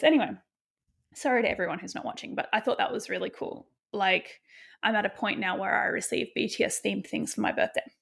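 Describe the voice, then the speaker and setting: Vocal fry runs through a woman's voice as she speaks with lively intonation. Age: 30s. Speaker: podcast host and author. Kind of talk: casual solo monologue.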